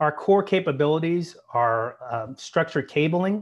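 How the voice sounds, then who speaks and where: There is a man talking over a quiet background. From US (military family, moved around). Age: 50s. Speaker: retired military officer and business executive. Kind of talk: interview. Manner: hesitant fillers.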